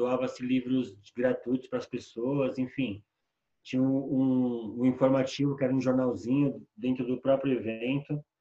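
Fairly slow and flat in a monotone, a man speaks at a medium pitch with a dark, mellow tone. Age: 40s. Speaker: musician and poet. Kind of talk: casual interview.

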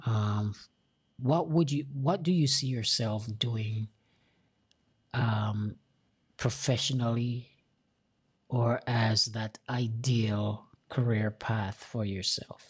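This man has an American accent and a somewhat breathy, medium-pitched voice with ordinary pitch variation. He speaks at a very slow pace, with long, frequent pauses. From outside the US. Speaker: podcast host. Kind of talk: casual interview.

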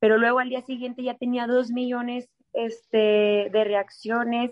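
A woman speaks with a fairly high pitch. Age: 30s. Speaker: dance studio director and choreographer. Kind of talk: interview conversation.

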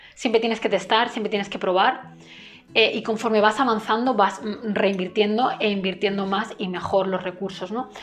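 A woman with a fairly high pitch talks at a moderate pace and fairly even intonation while noticeable background noise lingers. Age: 20s. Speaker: entrepreneur and business coach. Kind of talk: monologue to camera.

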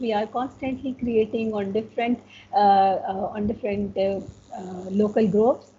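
The delivery is fairly slow. Noticeable background noise runs through the clip. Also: woman. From Pakistan. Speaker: educator and slow fashion advocate. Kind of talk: interview.

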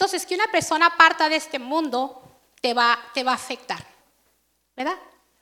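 A woman speaks in a raised, projected voice with a bright, sharp tone. Her pace is moderate and her intonation lively. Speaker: preacher. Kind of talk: sermon. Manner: conversational.

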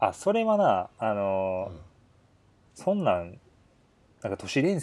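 A man at a moderate pace. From Kyoto. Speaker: podcast co-host. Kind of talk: casual chat. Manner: blunt, harsh-sounding tone.

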